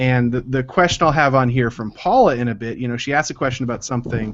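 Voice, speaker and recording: A man at medium pitch and a fairly quick pace. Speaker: ceramics instructor. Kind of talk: online class Q&A.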